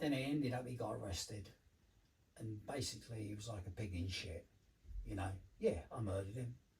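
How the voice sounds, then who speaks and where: Speaking fairly quickly with a London accent, this man has a fairly low, somewhat breathy voice and leaves long, frequent pauses. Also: ordinary pitch variation. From London, England. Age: 70s. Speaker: former addict, community care manager. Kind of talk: life story interview. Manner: halting.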